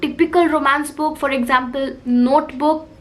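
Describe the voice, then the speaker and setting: With noticeable background noise and audible room echo, a woman speaks at a high pitch. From India, Lucknow then Kolkata. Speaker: book youtuber. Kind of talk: casual Q&A chat.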